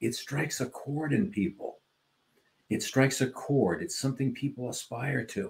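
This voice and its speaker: A man speaks with a somewhat breathy voice at medium pitch. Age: 70s. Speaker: podcast co-host. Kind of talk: casual chat. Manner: animated.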